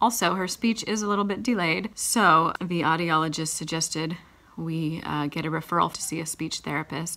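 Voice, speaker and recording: In a bright, sharp tone, a woman speaks at a fairly low pitch and a moderate pace. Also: ordinary pitch variation. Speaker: parent vlogger. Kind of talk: casual vlog chat. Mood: calm, slightly concerned. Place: home room. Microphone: phone near.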